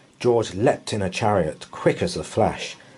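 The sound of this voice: Reading in an unforced voice, the speaker lets pitch vary in an ordinary way.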